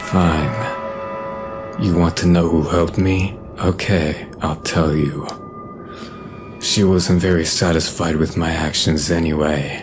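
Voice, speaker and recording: Over clear music in the background, a man performs a cartoonish character voice at a very deep, low pitch and a fairly slow pace. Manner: defiant, bitter.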